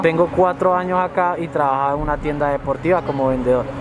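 There is noticeable background noise as a man talks at a fairly quick pace. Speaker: interviewee. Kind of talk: interview answer. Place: street.

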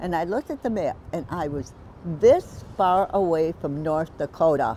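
A woman's fairly low, dark, mellow voice at a moderate pace, dry with no echo, over light background noise. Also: ordinary pitch variation. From Italy-born, raised in the U.S. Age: 90s. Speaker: retired traveler, community theater volunteer. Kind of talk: casual interview answer.

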